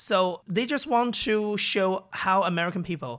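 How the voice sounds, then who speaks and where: The recording is very clean with a silent background. A man with a Chinese accent speaks at a moderate pace in a high voice. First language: Mandarin Chinese. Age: young. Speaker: podcast founder and host. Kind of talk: interview. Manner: halting.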